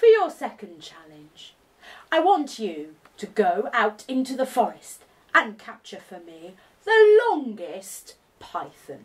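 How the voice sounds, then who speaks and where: A woman's put-on character voice, high in pitch, fairly slow, with very wide pitch swings. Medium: read story. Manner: mocking, grand.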